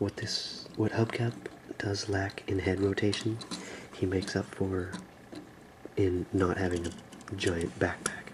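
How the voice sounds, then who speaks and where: A soft-spoken man whispering at a fairly slow pace, with long, frequent pauses. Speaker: ASMR toy reviewer. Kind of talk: ASMR action figure review. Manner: soft-spoken, whispery.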